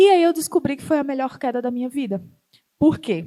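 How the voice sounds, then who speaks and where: A woman with a northeastern Brazilian accent. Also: very clean recording, silent background. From Northeast Brazil. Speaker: startup founder and CEO. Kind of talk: talk to an audience.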